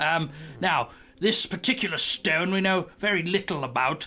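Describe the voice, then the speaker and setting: Clear music plays behind a man using a put-on character voice. He speaks at a fairly slow pace with a high pitch. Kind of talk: fantasy game character voice. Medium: actual play. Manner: rambling, pedantic.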